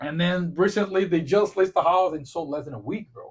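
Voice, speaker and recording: This man speaks with a Portuguese accent. His pitch sits high. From Brazil. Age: 40s. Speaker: podcast host and realtor. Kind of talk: casual chat.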